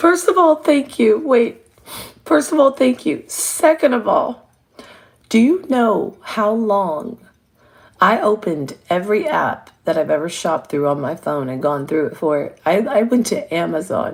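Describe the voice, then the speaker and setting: A woman speaks quietly at a fairly slow pace, her fairly high voice touched with vocal fry. Her pitch moves in very wide swings. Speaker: live streamer. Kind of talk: casual chat. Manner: animated; trying to be quiet.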